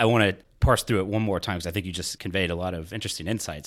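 A man with a very deep, low voice talks very fast with ordinary pitch variation, recorded very cleanly against a silent background. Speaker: podcast host interviewer. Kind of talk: interview.

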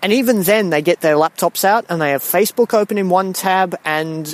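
Recorded in a dry, close sound with no echo, a man talks at a moderate pace with ordinary pitch variation. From Singapore. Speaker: listener. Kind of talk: voicemail comment. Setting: recorded audio message.

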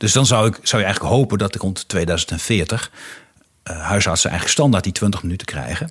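At a fairly quick pace, a man with a fairly low pitch talks with lively intonation. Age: 40s. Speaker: podcast host, strategy consultant and former politician. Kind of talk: interview conversation. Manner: hesitant, repeats words.

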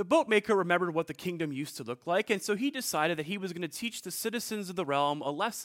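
The voice reads in an unforced way. Lively intonation runs through it.

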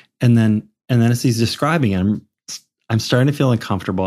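A man with an American accent at a medium pitch and ordinary pitch variation, on a very clean recording with a silent background. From Minnesota, Minneapolis. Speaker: opera singer. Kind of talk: casual chat. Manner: hesitant, many fillers.

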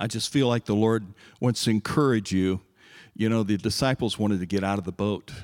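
Very clean recording, silent background, a man talking at a fairly quick pace. His pitch is fairly low and his intonation fairly even. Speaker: church member, navy veteran. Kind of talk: testimony.

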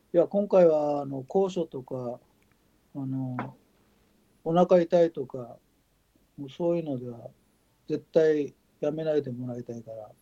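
A man's fairly high, dark and mellow voice, fairly slow with long, frequent pauses, big swings in loudness, ordinary pitch variation, and a dry, close sound with no echo. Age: 60s. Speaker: ultramarathon runner. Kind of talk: casual chat.

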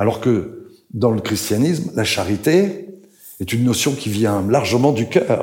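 A man's somewhat breathy voice with very wide pitch swings, a fairly slow pace and audible room echo. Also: medium pitch for a man. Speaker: writer and translator. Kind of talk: public talk at a literary event. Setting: stage with audience.

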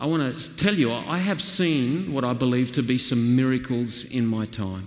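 A man's medium-pitched voice with a rural Australian accent, lively intonation and a fairly slow pace, amid audible room echo and noticeable background noise. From Australia, northwestern New South Wales. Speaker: pastor. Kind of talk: sermon.

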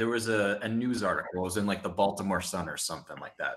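A man talks very fast in an American accent. His pitch is medium, with ordinary variation. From New Jersey. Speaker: former online group admin. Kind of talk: casual chat.

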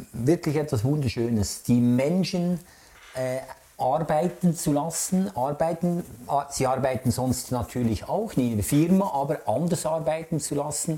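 At a very slow pace, a man with a fairly high pitch speaks with lively intonation. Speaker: artist. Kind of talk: interview. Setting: artist's studio.

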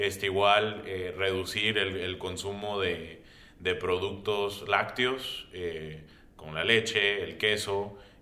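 A man speaks at a very slow pace in a fairly low voice with fairly even intonation. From Brownsville, Texas (US-Mexico border). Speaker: immigration lawyer. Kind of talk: radio roundtable discussion. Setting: radio studio.

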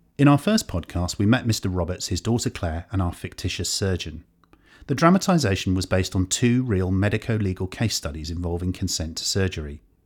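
On a very clean recording with a silent background, a man with a very deep, low pitch talks at a fairly quick pace in a somewhat breathy voice. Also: ordinary pitch variation. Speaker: podcast presenter. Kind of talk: scripted narration. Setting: studio.

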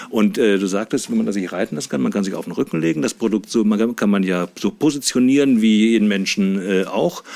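Dark, mellow tone with ordinary pitch variation and hardly any pauses. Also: man, fairly low pitch for a man. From Saxony-Anhalt, Harz region (Wernigerode). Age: 50s. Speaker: sex doll company manager. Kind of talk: casual interview. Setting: studio. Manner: hesitant, many filler sounds.

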